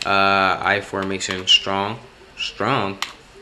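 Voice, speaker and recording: A man's voice against noticeable background noise. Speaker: gaming youtuber. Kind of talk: gameplay commentary. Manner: halting; animated.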